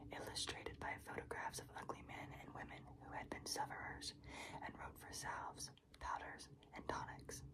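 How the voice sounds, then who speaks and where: A moderate-paced whisper against noticeable background noise. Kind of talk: reading aloud. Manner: whispering.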